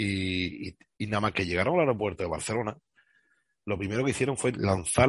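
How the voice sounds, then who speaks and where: A man speaks in an ordinary speaking voice at a moderate pace. His pitch varies in an ordinary way against a quiet background. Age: 40s. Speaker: bus driver. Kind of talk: interview.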